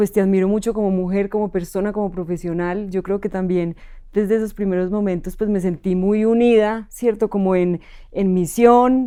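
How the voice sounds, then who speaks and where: Her tone is dark and mellow, with monotone, flat intonation. This woman speaks at a moderate pace with a medium pitch. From Colombia, Manizales. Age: 30s. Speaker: spiritual coach for companies. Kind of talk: personal testimony interview.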